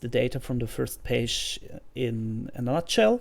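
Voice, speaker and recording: With a German accent, the speaker goes at a fairly slow pace. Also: woman. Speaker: self-publishing YouTuber. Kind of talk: screen-share tutorial. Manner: hesitant, with fillers.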